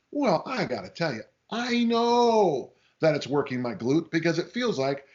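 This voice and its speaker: A man's high-pitched, animated voice with very wide pitch swings at a moderate pace. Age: 60s. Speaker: strength coach. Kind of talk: podcast interview. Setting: podcast.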